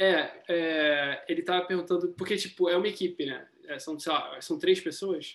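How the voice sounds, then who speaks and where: A man's high-pitched voice at a moderate pace, with fairly even intonation and hardly any pauses. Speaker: podcast host, software engineer. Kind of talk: interview. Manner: casual, slangy.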